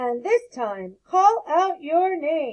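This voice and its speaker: A put-on character voice at a very slow pace, full of very wide pitch swings. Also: woman. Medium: read story. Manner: teacherly, instructive.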